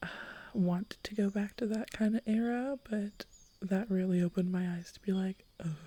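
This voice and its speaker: Soft-spoken and somewhat breathy, a woman with a medium pitch and a dark, mellow tone talks at a moderate pace with fairly even intonation. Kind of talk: soft-spoken ASMR podcast chat.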